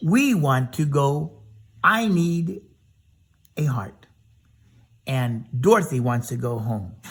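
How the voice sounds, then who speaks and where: A man puts on a squeaky character voice at a fairly high pitch, with very wide pitch swings. He goes at a very slow pace, with long, frequent pauses. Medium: read story.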